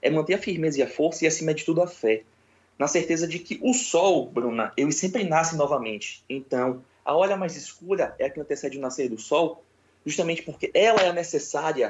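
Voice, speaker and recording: This man has a plain, everyday voice, talking at a fairly quick pace with a fairly high pitch. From Brazil, Salvador, Bahia. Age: 20s. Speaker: spiritualist. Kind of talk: interview.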